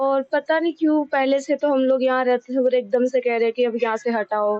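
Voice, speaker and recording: A voice at a moderate pace, with very even loudness and fairly even intonation. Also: woman, high pitch for a woman. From Delhi. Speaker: local resident. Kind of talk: street interview.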